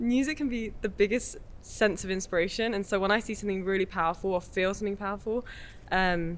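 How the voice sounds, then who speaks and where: A very fast woman's voice in an English accent, medium in pitch, with ordinary pitch variation. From England, Essex. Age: 20s. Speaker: film director. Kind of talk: casual interview chat.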